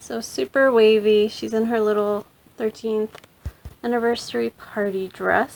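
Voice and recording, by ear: Fairly even intonation in a natural-voiced reading aloud.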